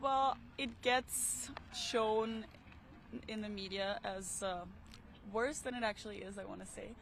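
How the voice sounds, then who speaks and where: A woman with an Austrian accent, fairly slow pace, long and frequent pauses, ordinary pitch variation, and big swings in loudness. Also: fairly high pitch for a woman. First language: German. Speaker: passerby interviewed on the street. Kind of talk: casual street interview. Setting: outdoors at a park.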